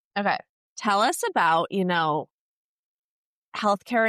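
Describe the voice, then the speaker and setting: Over a quiet background, a woman with an American accent speaks at medium pitch with ordinary pitch variation and a bright, sharp tone, the sound dry and close with no echo. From United States. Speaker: podcast host, former travel nurse. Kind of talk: casual chat.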